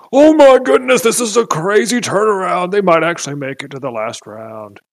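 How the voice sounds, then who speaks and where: Shouting in a put-on character voice, a man goes high in pitch with very wide pitch swings. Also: moderate pace. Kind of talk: sports announcer. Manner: screaming, excited.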